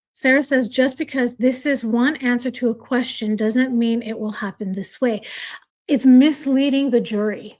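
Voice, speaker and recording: Loud and high-pitched, a woman speaks at a moderate pace with fairly even intonation. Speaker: true crime commentator. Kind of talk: live stream reaction and chat reading. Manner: loud, heated.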